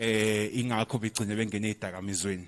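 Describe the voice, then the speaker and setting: A man speaks at a fairly quick pace. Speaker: community member who uses drugs. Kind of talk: public comment at community meeting. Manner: halting, repeated false starts.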